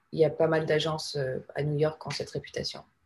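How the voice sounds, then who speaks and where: A woman's very deep, low voice, somewhat breathy. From Panama. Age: 30s. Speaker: advertising creative director. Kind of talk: casual interview.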